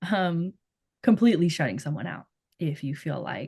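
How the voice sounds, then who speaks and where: A woman's relaxed, dark, mellow tone with ordinary pitch variation. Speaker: podcast co-host. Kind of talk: casual podcast discussion. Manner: relaxed, many filler words.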